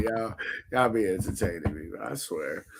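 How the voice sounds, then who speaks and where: A man with a fairly low voice speaks at a moderate pace over noticeable background noise. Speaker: podcast host. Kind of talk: casual chat. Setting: smoking during recording.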